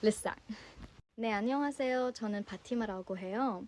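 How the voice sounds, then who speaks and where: Her pitch sits fairly high. The woman's pitch varies in an ordinary way. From US, Virginia. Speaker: language learner vlogger. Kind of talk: casual multilingual self-introduction.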